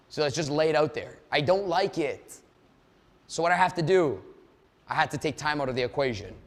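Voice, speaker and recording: A man speaks in an animated tone at a fairly quick pace and fairly high pitch, with ordinary pitch variation. Long pauses come often. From Canada. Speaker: sales coach. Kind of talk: live online seminar. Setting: Zoom live event. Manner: fast.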